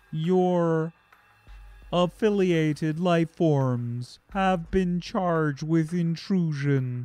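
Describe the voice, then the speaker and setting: This put-on character voice sits at a middle pitch and moves at a very slow pace. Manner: imposing, formal.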